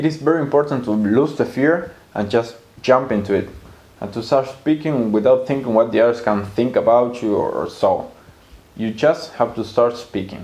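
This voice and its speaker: Moderate pace and ordinary pitch variation, with a Spanish accent. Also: man. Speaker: language teacher. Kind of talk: video monologue.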